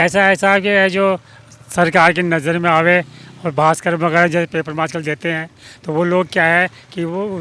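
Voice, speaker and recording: A man speaks at a moderate pace in a high pitch with fairly even intonation, over noticeable background noise. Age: 70s. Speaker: local resident. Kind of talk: street interview. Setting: outdoors.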